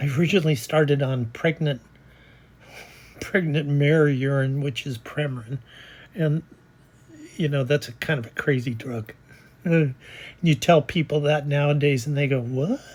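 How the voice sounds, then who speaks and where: A woman with a very deep, low pitch speaks at a moderate pace with ordinary pitch variation. Her voice is somewhat breathy, broken by long, frequent pauses. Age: 70s. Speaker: personal vlogger sharing life story. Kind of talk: personal testimony monologue. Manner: casual, hesitant with fillers.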